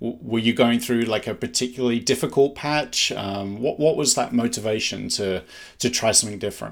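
With an unremarkable speaking voice, a man talks fairly quickly at a medium pitch with ordinary pitch variation. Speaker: insomnia coach podcast host. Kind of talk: interview.

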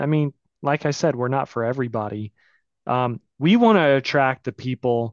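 In a plain, everyday voice, a man talks at a moderate pace and medium pitch with ordinary pitch variation, the sound dry and close with no echo. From US South, Florida Panhandle (Pensacola). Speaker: marketing agency founder. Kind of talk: interview.

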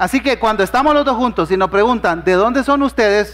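A man with a high voice speaks with lively intonation. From Honduras. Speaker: pastor. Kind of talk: sermon.

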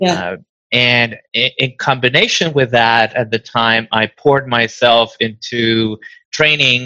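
Someone with a Spanish accent speaks at a very slow pace in a dry, close sound with no echo. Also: man. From Venezuela. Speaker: diabetes nonprofit founder. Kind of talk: interview. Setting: video call.

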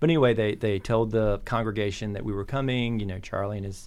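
A normal speaking voice from a man with an American accent, fairly low in pitch, with ordinary pitch variation at a fairly quick pace. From US South. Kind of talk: casual interview.

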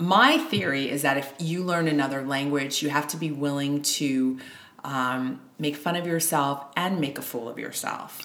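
A woman with a New York accent, very deep and low in pitch, fairly even in intonation, at a moderate pace. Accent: American (New York). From New York, US, Haitian immigrant parents. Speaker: indie author. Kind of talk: interview conversation. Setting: at home.

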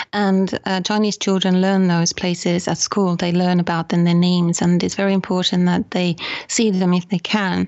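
A woman with a Finnish accent speaks at a moderate pace, with medium pitch and very even loudness. Her intonation is monotone and flat, with hardly any pauses. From Finland. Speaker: photography tour operator. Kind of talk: interview. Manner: hesitant, many ums.

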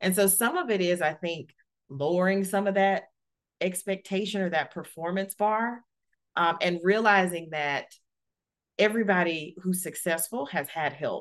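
A woman with an American accent uses a normal speaking voice at a medium pitch, talking at a moderate pace with ordinary pitch variation against a quiet background. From US South, Alabama. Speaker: corporate executive and author. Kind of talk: interview.

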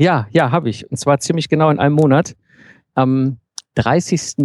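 The sound is dry and close with no echo. A man speaks at a moderate pace in a dark, mellow tone. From Ruhr area, Germany. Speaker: self-employed founder and systems engineer. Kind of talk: interview.

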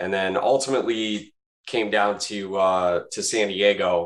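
Recorded very cleanly against a silent background, a man with an ordinary speaking voice talks at a fairly low pitch with fairly even intonation. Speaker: telecom business owner. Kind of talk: casual interview.

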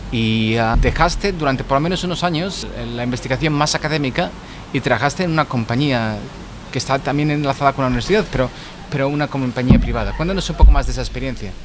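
A man speaks very fast with a Spanish accent, his pitch fairly high. Noticeable background noise runs underneath. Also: ordinary pitch variation. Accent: Spanish (Spain). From Spain. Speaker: podcast host and scientist. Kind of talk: casual chat. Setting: pub.

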